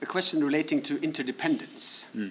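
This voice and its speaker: A man talks at a fairly quick pace with lively intonation and a fairly high pitch. Noticeable background noise sits behind him. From Norway. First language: Norwegian. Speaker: diplomat and podcast moderator. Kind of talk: interview. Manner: formal.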